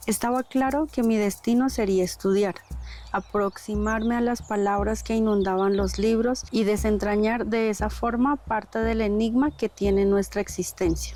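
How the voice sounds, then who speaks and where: A woman talks at a moderate pace with very even loudness. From Colombia, Cauca (Misak community). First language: Namuiguam (Misak language) (speaking Spanish). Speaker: poet and sociologist. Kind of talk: personal testimony. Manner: measured, literary.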